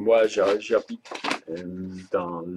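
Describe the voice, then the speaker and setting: With a Swiss German accent, a man talks at a very slow pace. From German-speaking Switzerland. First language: Swiss German (speaking French). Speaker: online shop owner. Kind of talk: product and payment explanation video. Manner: halting, hesitant.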